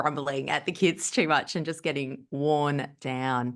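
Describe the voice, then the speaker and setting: A woman's moderate pace of speech comes through over a quiet background. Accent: Australian. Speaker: podcast host, teacher. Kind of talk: casual chat. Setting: podcast recording.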